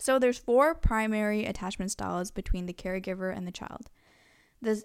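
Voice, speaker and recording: A plain, everyday voice from a woman, fairly high in pitch with ordinary pitch variation, big swings in loudness and a moderate pace, on a very clean recording with a silent background. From Canada, Korean family. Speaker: student podcast host. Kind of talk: casual interview with lecture-style explanations.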